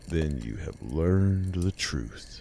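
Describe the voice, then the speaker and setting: A man uses a raspy, very deep, low put-on character voice against clear background noise. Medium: read story. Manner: slow, calm, questioning.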